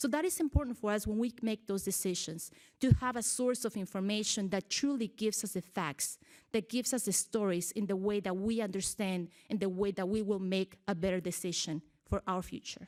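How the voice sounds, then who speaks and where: Talking fairly quickly in a Mexican accent, a woman of medium pitch shows ordinary pitch variation in a very clean recording with a silent background. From Mexico, Michoacan. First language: Spanish. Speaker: TV journalist. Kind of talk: public speech.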